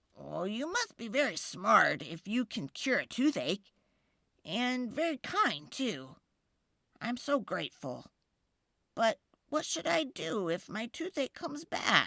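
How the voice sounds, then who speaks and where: In a put-on character voice, the speaker sounds raspy at a fairly high pitch, going at a fairly slow pace with long, frequent pauses. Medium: read story.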